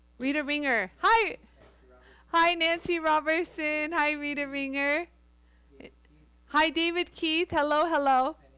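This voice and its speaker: A woman's raised, projected voice at a very slow pace, with ordinary pitch variation and long, frequent pauses. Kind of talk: live-stream tutorial. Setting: live stream. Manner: loud; animated, chatty.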